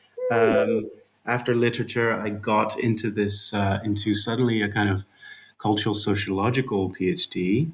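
A man with a Dutch accent speaks at a fairly low pitch. His loudness stays very even, and his intonation is fairly even. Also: moderate pace. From Netherlands. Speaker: author and game studies researcher. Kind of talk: interview. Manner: halting, many fillers.

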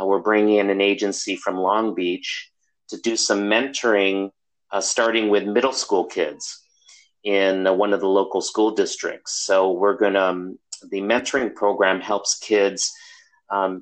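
This man has an unremarkable speaking voice with an American accent and a fairly low pitch. He speaks at a fairly slow pace with fairly even intonation. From US Midwest, Chicago. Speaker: social work professor. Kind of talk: interview.

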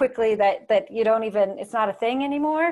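Over a quiet background, a woman with an American accent talks at a fairly quick pace in an ordinary speaking voice, her pitch fairly high and her pitch variation ordinary. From US Pacific Northwest, near Portland, Oregon. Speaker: keynote speaker and mindful leadership advisor. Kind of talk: casual interview.

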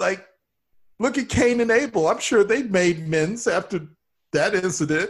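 Against a quiet background, a man talks at a moderate pace with a high pitch and lively intonation. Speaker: improv comedian.

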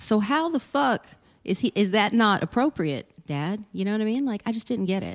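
In a very clean recording with a silent background and a dry, close sound without echo, a woman speaks at a moderate pace in a fairly high pitch with lively intonation. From Texas, Port Arthur (southeast, near Louisiana). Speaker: stand-up comedian. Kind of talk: casual chat. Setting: studio. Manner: expressive.

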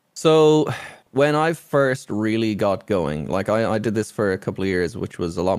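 An Irish accent marks this man's speech, delivered at a moderate pace with lively intonation. The recording is very clean, with a silent background. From Ireland. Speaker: streamer. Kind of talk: casual chat.

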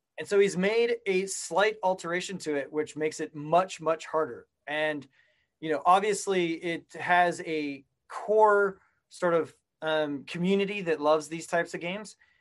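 Speaking with an American accent, a man has a high pitch for a man. He keeps a moderate pace and ordinary pitch variation. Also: quiet background. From Colorado, US. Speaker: entrepreneur. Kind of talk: interview.

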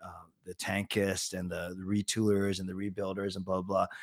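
With a Canadian accent, a man speaks in a plain, everyday voice at a fairly low pitch and a moderate pace on a very clean recording with a silent background. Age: 40s. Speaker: sports fan personality. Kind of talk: casual chat.

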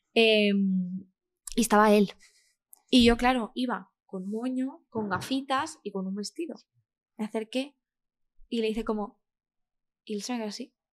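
Here a woman talks at a fairly slow pace with ordinary pitch variation. Her pauses are long and frequent. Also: fairly high pitch for a woman. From Spain, Castellón (Valencia region). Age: 20s. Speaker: actress. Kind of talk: casual interview chat.

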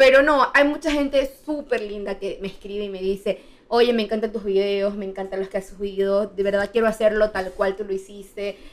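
A woman talks at a fairly quick pace with hardly any pauses. Hers is an unremarkable speaking voice with ordinary pitch variation. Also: medium pitch for a woman. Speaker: travel content creator. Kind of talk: casual chat.

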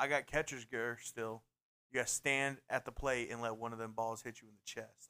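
A man's bright, sharp, playful voice at medium pitch keeps a moderate pace and monotone, flat intonation despite big swings in loudness. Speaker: podcast host. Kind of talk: casual banter. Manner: joking, playful.

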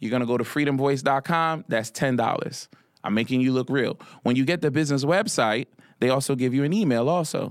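An ordinary speaking voice with an American accent moves at a fairly quick pace, with ordinary pitch variation and very even loudness on a very clean recording with a silent background. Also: man, medium pitch for a man. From Philadelphia, US. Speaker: financial literacy coach. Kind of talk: casual interview.

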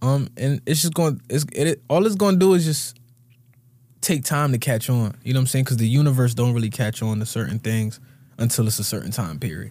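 In a very clean recording with a silent background, a man with an American accent talks at a fairly quick pace and medium pitch, his dark, mellow tone somewhat breathy and his intonation lively. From Connecticut (Bloomfield). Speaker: rapper. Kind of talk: casual chat. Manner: halting.

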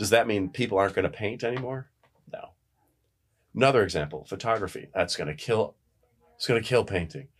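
A man talks very fast with lively intonation in an American accent. The recording is very clean with a silent background. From upstate New York, near the Canadian border. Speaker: professor and university administrator. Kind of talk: casual interview chat.

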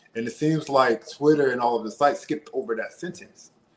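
At a fairly quick pace, a man uses lively intonation in an ordinary speaking voice. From Washington DC. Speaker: reality dating show contestant. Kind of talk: casual interview. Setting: online live stream.

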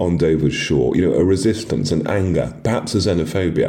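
A man with a British accent talks at a moderate pace. His pitch is very deep and low, with noticeable background noise. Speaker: writer. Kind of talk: interview.

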